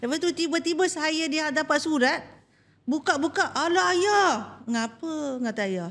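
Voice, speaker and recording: With a Perak accent, a woman talks at a fairly slow pace in a high voice with lively intonation. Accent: Perak Malay. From Malaysia, Perak (Teluk Intan); Perak, Malaysia. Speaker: head nurse; podcast guest. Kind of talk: talk show interview. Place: studio. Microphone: studio mic.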